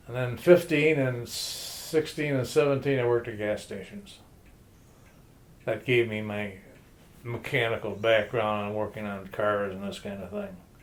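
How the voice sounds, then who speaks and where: With an American accent, a man at a medium pitch speaks at a moderate pace with ordinary pitch variation and big swings in loudness over noticeable background noise. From Detroit, US Midwest. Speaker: grandfather telling his life story. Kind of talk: oral history interview. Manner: halting, with many fillers.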